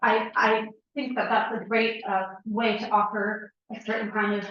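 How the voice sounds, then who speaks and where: Fairly high-pitched, a woman speaks slowly-ish with an American accent. Room echo is audible around her fairly slow delivery. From Woodstock, New York, US. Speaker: resident speaking at public hearing. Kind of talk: public comment at town meeting. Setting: town hall meeting. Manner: halting, many fillers.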